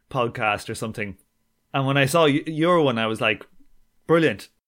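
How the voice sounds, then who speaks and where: A man with an Irish accent talks in a fairly high pitch with lively intonation. The recording is very clean, with a silent background. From Ireland. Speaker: podcast host. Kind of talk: casual interview chat.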